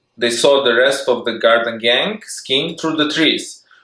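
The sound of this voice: In a room with audible echo, a man with a medium pitch and a bright, sharp tone speaks at a fairly slow pace with ordinary pitch variation.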